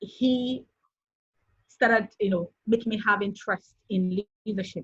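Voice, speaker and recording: The speaker has a Nigerian accent. The pace is fairly slow. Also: woman. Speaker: author and software engineer. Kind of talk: interview. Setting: video call.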